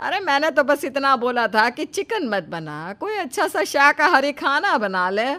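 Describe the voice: Putting on a cartoonish character voice, a woman speaks at a fairly slow pace with a high pitch, big pitch swings and a bright, sharp tone.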